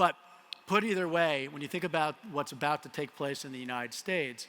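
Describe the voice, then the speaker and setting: A man with a Colorado accent, fairly high pitch, ordinary pitch variation, a fairly quick pace, and big swings in loudness. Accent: American, Colorado. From US, Colorado. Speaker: tech company CEO. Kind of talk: conference keynote. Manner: casual, with frequent fillers.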